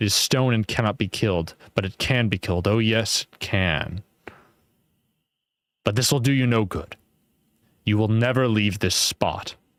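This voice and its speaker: Using a put-on character voice, a man speaks at a moderate pace in a medium pitch, with some hissing. The recording is very clean with a silent background. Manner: hissing, menacing.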